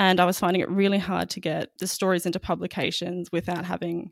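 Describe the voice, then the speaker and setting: In a very clean recording with a silent background, a woman with an Australian accent speaks fairly quickly at a fairly low pitch, with vocal fry. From Queensland, Australia. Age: 20s. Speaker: magazine editor. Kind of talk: interview conversation.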